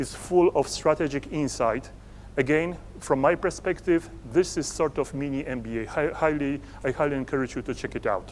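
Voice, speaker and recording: The speaker talks at a moderate pace with a Polish accent. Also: man. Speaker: entrepreneur and conference speaker. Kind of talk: conference presentation. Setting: stage with audience. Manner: halting.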